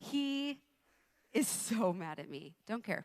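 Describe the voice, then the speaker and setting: On a very clean recording with a silent background, a woman talks in an animated tone. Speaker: youth leader and guest preacher. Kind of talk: sermon. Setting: church service with congregation, live stream.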